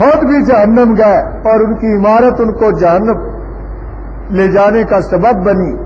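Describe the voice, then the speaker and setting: Against noticeable background noise, a man with a high pitch keeps his loudness very even. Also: ordinary pitch variation. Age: 60s. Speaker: Islamic scholar and mosque preacher. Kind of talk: religious sermon explanation.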